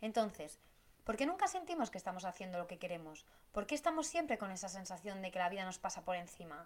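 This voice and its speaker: Very fast speech from a woman, medium in pitch, with lively intonation. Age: 30s. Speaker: podcast host, business planning coach. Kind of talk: solo podcast monologue.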